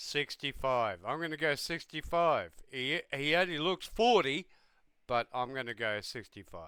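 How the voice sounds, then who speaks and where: In a very clean recording over a silent background, a man with an Australian accent speaks slowly in a bright, sharp tone, fairly high in pitch and lively in intonation. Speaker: reaction youtuber and English teacher. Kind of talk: casual reaction commentary. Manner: animated.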